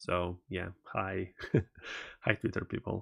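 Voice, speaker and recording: On a very clean recording with a silent background and a dry, close sound with no echo, a man speaks at a very deep, low pitch with vocal fry and a Russian accent. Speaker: tech streamer. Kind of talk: live stream commentary. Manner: halting, many fillers.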